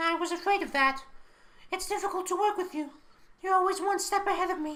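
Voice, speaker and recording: A woman's put-on character voice, extremely high in pitch, with fairly even intonation and a fairly quick pace. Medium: audio drama.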